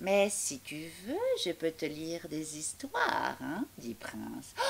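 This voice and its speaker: Using a put-on character voice, a woman speaks at a very deep, low pitch and a fairly slow pace over clear background noise. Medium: read story. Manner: hesitant, casual.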